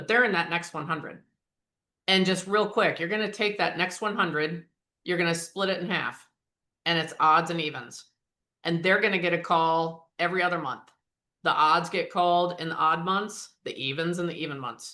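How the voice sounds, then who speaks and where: In an American accent, a woman speaks with a bright, sharp tone at a fairly low pitch. Her intonation stays fairly even against a quiet background. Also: moderate pace. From US Mid-Atlantic. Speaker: performance coach. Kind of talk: interactive training session.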